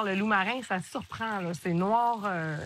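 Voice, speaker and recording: With ordinary pitch variation, the woman talks in a bright, sharp tone. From Quebec, Gaspésie. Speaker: cooking show host. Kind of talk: casual chat on cooking show.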